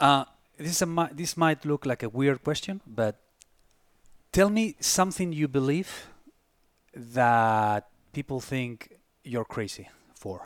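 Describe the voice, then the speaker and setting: A man talks at a fairly slow pace, leaving long, frequent pauses. His pitch is fairly high and his intonation lively. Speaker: podcast host. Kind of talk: casual interview chat.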